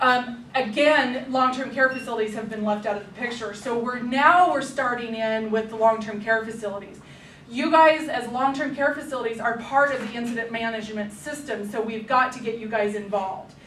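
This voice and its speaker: An unremarkable speaking voice moves at a fairly quick pace with hardly any pauses and fairly even intonation. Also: woman, fairly high pitch for a woman. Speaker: public health emergency preparedness trainer. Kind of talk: staff training presentation.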